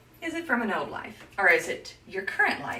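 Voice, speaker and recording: Over noticeable background noise and audible room echo, a woman speaks at a moderate pace in an animated tone, her pitch swinging very widely. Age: 60s. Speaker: image consultant. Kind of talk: live stream tutorial.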